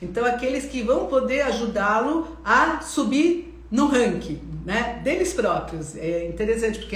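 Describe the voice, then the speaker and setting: Recorded with audible room echo and noticeable background noise, a woman is speaking. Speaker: psychologist. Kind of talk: instagram live talk. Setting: live stream.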